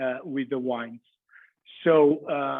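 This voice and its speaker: Speaking very slowly with a Portuguese accent, a man with a fairly high pitch keeps his intonation fairly even. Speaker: cheesemonger. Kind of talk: online masterclass presentation. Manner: halting, many fillers.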